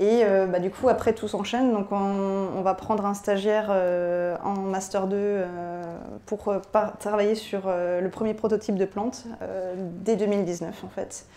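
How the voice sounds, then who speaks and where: In a monotone, flat intonation, the words come out very slowly. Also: woman. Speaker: biotech startup founder; presenter. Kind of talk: conference talk. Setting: stage with audience. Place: hall. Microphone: handheld.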